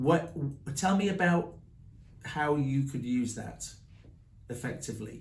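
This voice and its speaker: With audible room echo, a somewhat breathy man with an English accent speaks fairly slowly at a fairly high pitch, using ordinary pitch variation and long, frequent pauses. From England. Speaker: branding coach and author. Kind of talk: group workshop discussion.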